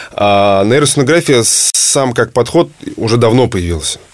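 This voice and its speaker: Amid noticeable background noise, a man at medium pitch talks with lively intonation. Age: 30s. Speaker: entrepreneur. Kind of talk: interview.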